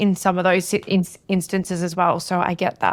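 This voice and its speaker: In a very clean recording with a silent background, a woman with an Australian accent speaks at medium pitch in a monotone, flat delivery. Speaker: podcast host and business coach. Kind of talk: podcast interview.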